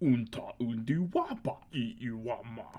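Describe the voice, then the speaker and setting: A put-on character voice at a moderate pace, pitched low-to-middle. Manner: deep, guttural alien speech.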